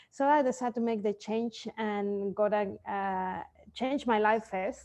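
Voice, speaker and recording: A woman with a Spanish accent speaks at a fairly slow pace and fairly high pitch, her intonation fairly even. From Mexico. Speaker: sleep consultant, entrepreneur. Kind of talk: interview. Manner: halting.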